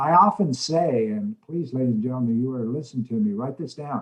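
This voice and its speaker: Lively intonation marks this man's somewhat breathy delivery. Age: 60s. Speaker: motivational speaker and mentor. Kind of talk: interview. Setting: video call.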